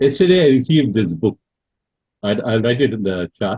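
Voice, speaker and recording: Lively intonation marks a man's somewhat breathy voice. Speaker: lecturer on theosophy. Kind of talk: online Q&A talk. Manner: halting, many fillers.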